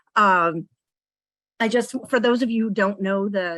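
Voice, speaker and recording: Woman with a plain, everyday voice at medium pitch, moderate pace and fairly even intonation, in a very clean, dry, close recording with a silent background and no echo. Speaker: nonprofit executive director and parent. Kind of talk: meeting presentation.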